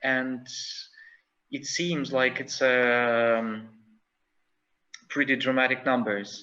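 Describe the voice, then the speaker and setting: In a bright, sharp tone and a non-native accent, a man speaks very slowly with long, frequent pauses and fairly even intonation. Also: medium pitch for a man. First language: not English. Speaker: conference speaker. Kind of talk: conference presentation. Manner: halting, many fillers.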